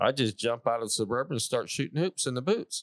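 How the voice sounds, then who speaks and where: On a very clean recording with a silent background, a man at medium pitch uses a normal speaking voice at a fairly quick pace, the sound dry and close with no echo. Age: 60s. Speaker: cowboy boot maker, small business owner. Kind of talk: interview answer. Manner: casual, folksy.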